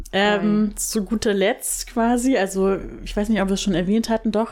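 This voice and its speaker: The woman here speaks at a medium pitch. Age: 20s. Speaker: podcast host, copywriter. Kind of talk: casual chat. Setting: sitting on a bed at home.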